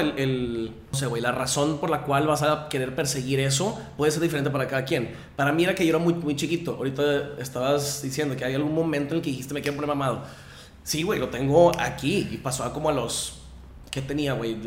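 With audible room echo, a man speaks fairly quickly in a fairly high pitch with fairly even intonation. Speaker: fitness instructor. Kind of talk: casual chat.

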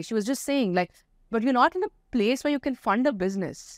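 Very fast and high-pitched, a woman speaks with very wide pitch swings. The recording is very clean, with a silent background and a dry, close sound with no echo. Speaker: food company founder. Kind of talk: casual interview. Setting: studio.

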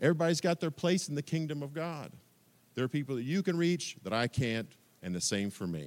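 A normal speaking voice with an American accent, lively intonation and a fairly quick pace, on a very clean recording with a silent background. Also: man, fairly high pitch for a man. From US Midwest. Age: 50s. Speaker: preacher. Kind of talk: sermon.

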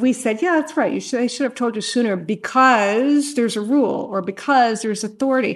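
A woman with an unremarkable speaking voice talks at a fairly quick pace with hardly any pauses, her pitch fairly high and her pitch variation ordinary. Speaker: presiding state supreme court justice. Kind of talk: judicial questioning during oral argument. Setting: courtroom. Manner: formal, conversational, occasionally laughing.

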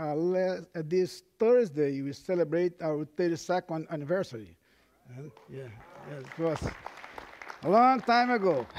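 Against crowd noise in the background, a man with a high pitch for a man speaks at a fairly slow pace, with lively intonation and long, frequent pauses. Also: big swings in loudness. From Brazil. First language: Portuguese. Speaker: pastor. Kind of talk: sermon. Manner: halting, with frequent fillers.

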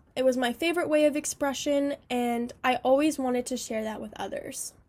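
A woman with a high pitch talks at a fairly quick pace on a very clean recording with a silent background. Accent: American. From California. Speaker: student. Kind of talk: scripted narration.

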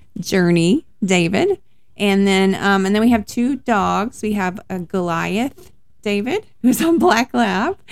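A woman speaks with a Texan accent at a very slow pace. Her intonation is lively. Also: medium pitch for a woman. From Dallas-Fort Worth, Texas. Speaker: minister's wife, podcast co-host. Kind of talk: casual chat. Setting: home study.

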